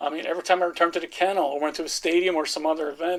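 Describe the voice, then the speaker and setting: Talking at a very fast pace, a man with a high pitch speaks in a strong American accent. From Norway. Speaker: football fan. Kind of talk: podcast interview. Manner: halting, many fillers.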